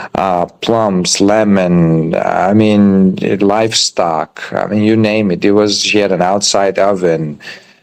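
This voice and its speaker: With an Albanian accent, a man speaks at a very slow pace and fairly low pitch, his intonation monotone and flat and his loudness very even. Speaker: chef and restaurant owner. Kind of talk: interview. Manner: halting, many fillers.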